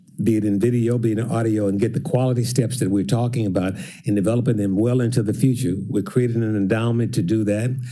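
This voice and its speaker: Talking at a very fast pace with hardly any pauses, a man with a dark, mellow tone keeps a fairly even intonation over audible room echo. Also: medium pitch for a man. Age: 80s+. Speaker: songwriter and music business owner. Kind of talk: public address to council.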